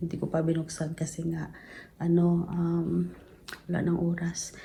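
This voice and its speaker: A soft-spoken woman's somewhat breathy voice, fairly low in pitch, with a dark, mellow tone. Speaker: vlogger. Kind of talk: casual vlog chat. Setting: at home, late night. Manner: soft-spoken, lowered voice.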